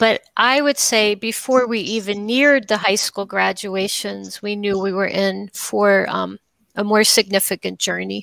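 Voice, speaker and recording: A woman's fairly slow speech in a dry sound with no echo, over a quiet background. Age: 50s. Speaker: documentary filmmaker. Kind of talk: interview. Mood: thoughtful, engaged. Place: home room.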